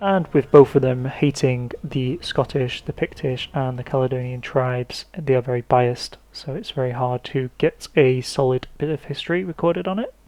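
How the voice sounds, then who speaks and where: The words come at a moderate pace, spoken with an English accent. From England. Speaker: history podcaster. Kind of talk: scripted narration. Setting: podcast recording. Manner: halting.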